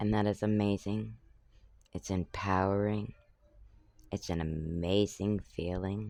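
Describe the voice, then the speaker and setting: In a dark, mellow tone, a man with a fairly low pitch speaks at a fairly slow pace with monotone, flat intonation. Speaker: talk show host. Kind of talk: solo talk show monologue. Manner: casual, conversational.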